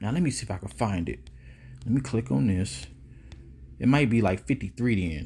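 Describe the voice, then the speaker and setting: Here a man talks at a fairly quick pace. His medium-pitched voice is somewhat breathy. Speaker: religious commentator. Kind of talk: scripture commentary. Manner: breathing heavily; animated.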